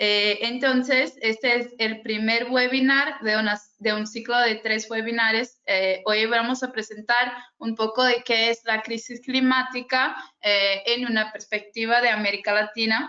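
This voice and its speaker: A woman speaks in a fairly high pitch with a Brazilian accent. Her intonation is monotone and flat. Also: fairly slow pace. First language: Portuguese (speaking Spanish). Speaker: youth climate network coordinator, webinar moderator. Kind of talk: webinar moderation. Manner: halting, many fillers.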